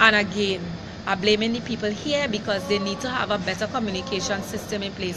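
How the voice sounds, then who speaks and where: Woman with a Caribbean accent, fairly high pitch, fairly even intonation and moderate pace, amid noticeable background noise. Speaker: vlogger. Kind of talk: live rant to camera. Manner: upset, emphatic.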